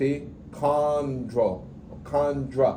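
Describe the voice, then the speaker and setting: Fairly high pitch from a man, with audible room echo and noticeable background noise. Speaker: anatomy instructor. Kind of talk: classroom lecture. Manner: fast.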